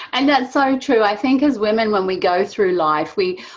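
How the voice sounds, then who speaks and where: A woman speaks with an English accent. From England. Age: 50s. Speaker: online show host. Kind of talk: interview chat.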